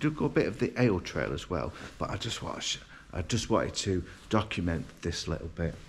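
Over light background noise, a man talks at a fairly quick pace with a very deep, low pitch and vocal fry. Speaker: travel vlogger. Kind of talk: casual vlog chat. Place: hall. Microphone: phone near.

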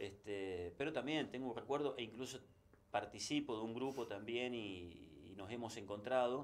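At a moderate pace, a man speaks in a plain, everyday voice, with medium pitch and ordinary pitch variation. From Argentina, Santa Fe. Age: 60s. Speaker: sports journalist. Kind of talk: interview. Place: studio.

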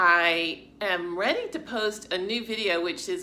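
Light background noise is present. A woman talks over it. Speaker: fitness channel vlogger. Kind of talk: casual vlog chat. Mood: warm, grateful. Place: home room. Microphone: phone near.

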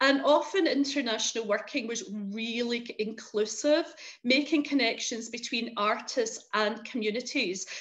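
A woman speaks with a west of Scotland accent at a fairly high pitch. Her pace is moderate and her pitch variation is ordinary. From Scotland, Paisley. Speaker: arts consultant. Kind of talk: webinar presentation.

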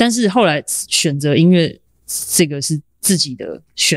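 A woman with a very deep, low pitch, dry and close with no echo, in a very clean recording against a silent background. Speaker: percussionist and sound artist. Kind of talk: casual interview conversation.

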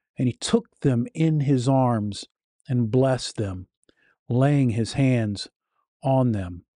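This man's voice is dark and mellow, with a serious tone. The sound is dry with no echo, and the background is quiet. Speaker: YouTube host and critic of preachers. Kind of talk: commentary and critique narrating over sermon clips. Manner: earnest, serious, somewhat halting with fillers. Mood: critical, earnest. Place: home room. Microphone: studio mic.

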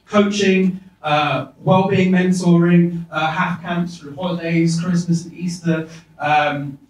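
In a room with audible echo, a man with a high pitch speaks very slowly in a monotone, flat delivery. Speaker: keynote guest. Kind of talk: keynote talk to audience. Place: hall.

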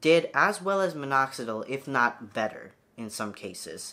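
A bright, sharp tone with very wide pitch swings. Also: man. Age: 20s. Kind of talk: tutorial. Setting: home video recording. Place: home room.

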